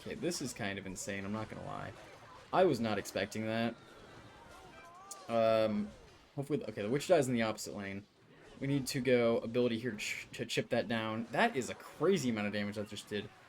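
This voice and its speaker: Over music in the background, a man talks at a fairly quick pace. He leaves long, frequent pauses. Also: medium pitch for a man, ordinary pitch variation. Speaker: gaming youtuber. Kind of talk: gameplay commentary. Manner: fast; casual, with fillers.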